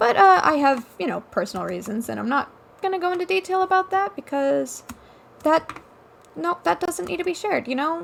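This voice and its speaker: A woman with a high pitch speaks at a fairly quick pace with very wide pitch swings. Noticeable background noise runs behind her. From Alaska, Ketchikan (moved from Washington at nine). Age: young. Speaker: gamer streamer, college student. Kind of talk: casual gaming commentary rant. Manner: halting, many fillers.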